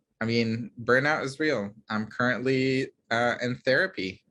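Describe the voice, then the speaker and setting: Against a quiet background, a man with a slight Middle Eastern accent talks at a medium pitch in a bright, sharp tone. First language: Arabic. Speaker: pediatrician. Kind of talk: Q&A talk.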